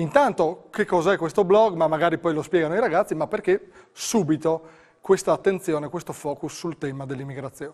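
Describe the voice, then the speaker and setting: Over a quiet background, a man with high pitch speaks at a fairly quick pace and ordinary pitch variation. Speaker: TV host. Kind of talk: TV talk show. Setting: studio. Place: studio. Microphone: lapel.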